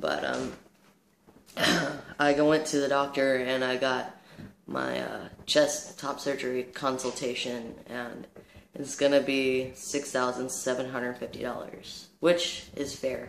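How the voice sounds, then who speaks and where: With noticeable background noise and audible room echo, a man speaks at a medium pitch and a fairly slow pace in a monotone, flat intonation. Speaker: vlogger. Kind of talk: casual vlog monologue. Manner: halting, many fillers.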